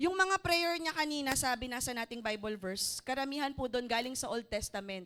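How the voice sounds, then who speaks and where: With a high pitch and lively intonation, a woman speaks at a moderate pace. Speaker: preacher. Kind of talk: sermon. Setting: church service.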